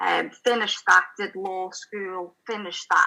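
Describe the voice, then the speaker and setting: A woman talks at a moderate pace. She speaks with a Liverpool accent. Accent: Scouse. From Liverpool, England. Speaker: spiritual channel and writer. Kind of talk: interview testimony.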